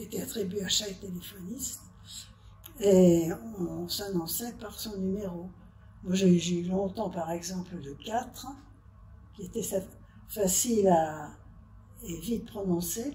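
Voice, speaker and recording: A woman speaks very slowly at a medium pitch, her dark, mellow tone somewhat breathy and her loudness swinging widely. Long, frequent pauses break up the speech, and the room echo is audible. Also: ordinary pitch variation. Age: 80s+. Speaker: retired telephone operator. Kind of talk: interview, personal recollection. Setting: nursing home workshop. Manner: halting.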